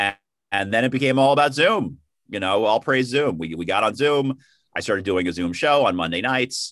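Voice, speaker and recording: An unremarkable speaking voice with an American accent, lively intonation and a fairly quick pace against a quiet background. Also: man, medium pitch for a man. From New York, the Bronx. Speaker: stand-up comedian. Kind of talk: casual interview.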